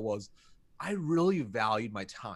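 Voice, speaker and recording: A man speaks with an American accent in an animated tone. His pitch sits fairly high. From United States. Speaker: sales consultant. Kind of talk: interview.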